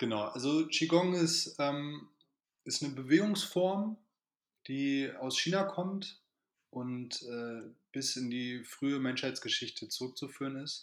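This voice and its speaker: In a very clean recording with a silent background, a man with a fairly high pitch speaks at a very slow pace with lively intonation. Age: 30s. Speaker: qigong teacher. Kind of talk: casual chat.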